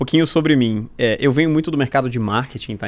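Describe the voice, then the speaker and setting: The delivery is very fast, with ordinary pitch variation. The recording is very clean, with a silent background. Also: man. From Brazil, Rio de Janeiro. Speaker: startup founder and marketing executive. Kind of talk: podcast interview.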